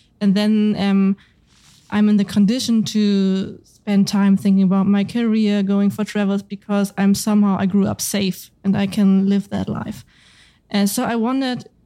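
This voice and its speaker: A woman speaks at a medium pitch with a dark, mellow tone and a German accent, at a moderate pace in a monotone, flat intonation, on a very clean recording with a silent background. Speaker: podcast host, journalist. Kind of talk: interview. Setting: in-person interview.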